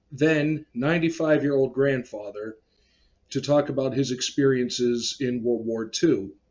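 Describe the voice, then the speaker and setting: Speaking at a moderate pace, a man uses a medium pitch and a plain, everyday voice. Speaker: collector channel host and interviewer. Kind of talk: casual talk to camera.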